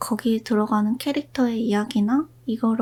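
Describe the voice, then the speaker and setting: Fairly high in pitch, a woman speaks at a fairly slow pace with fairly even intonation. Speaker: illustrator and character designer. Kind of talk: whispered ASMR chat. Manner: whispered.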